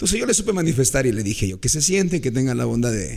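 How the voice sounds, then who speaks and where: Using vocal fry, a man speaks at a medium pitch with very wide pitch swings. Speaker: radio broadcaster. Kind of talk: storytelling in interview.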